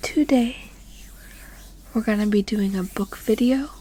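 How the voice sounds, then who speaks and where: A soft-spoken woman talks at a very slow pace, fairly high in pitch and somewhat breathy. Her tone is dark and mellow, with ordinary pitch variation. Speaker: ASMR artist. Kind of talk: ASMR book ramble, casual talk to camera. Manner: soft-spoken, relaxing.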